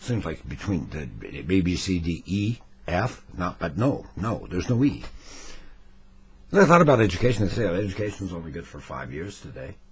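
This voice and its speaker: A man talks at a moderate pace in a very deep, low voice with vocal fry. His pitch swings very widely and his loudness rises and falls sharply. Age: 60s. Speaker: retiree. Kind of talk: casual talk to camera. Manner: wry, rambling.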